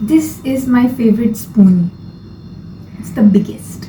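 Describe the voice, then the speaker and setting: A woman with a non-native accent speaks at a fairly high pitch with lively intonation. Audible room echo and noticeable background noise surround her. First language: not English. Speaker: lifestyle vlogger. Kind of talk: casual vlog monologue. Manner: hesitant, with fillers and restarts.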